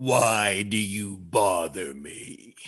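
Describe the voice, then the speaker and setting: A man's raspy, put-on character voice, fairly low in pitch. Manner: slow, imposing.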